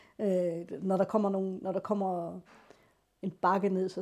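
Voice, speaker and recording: A woman with a medium pitch and a dark, mellow tone speaks in monotone, flat intonation at a moderate pace, captured in a very clean recording with a silent background. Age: 40s. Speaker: blind piano tuner. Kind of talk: personal testimony. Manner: halting.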